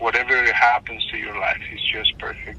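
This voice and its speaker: A man with a non-native accent speaks over noticeable background noise. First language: not English. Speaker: stranger who helped. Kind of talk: phone call. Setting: phone call. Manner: halting. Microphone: phone line, hard to hear.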